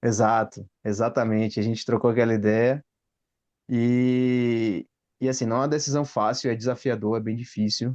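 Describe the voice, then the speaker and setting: The speaker uses a monotone, flat intonation at a moderate pace. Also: man, medium pitch for a man. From Brazil. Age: 30s. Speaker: engineer. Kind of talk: casual chat. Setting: video call.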